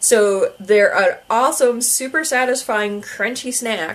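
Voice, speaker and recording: A woman speaks with a fairly high pitch. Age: 30s. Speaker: YouTuber. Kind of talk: casual vlog talk. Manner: hesitant, many fillers.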